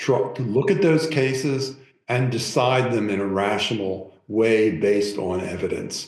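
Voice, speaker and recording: Against audible room echo, a man with an American accent and medium pitch speaks at a fairly slow pace with lively intonation. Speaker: professor. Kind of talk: public talk Q&A.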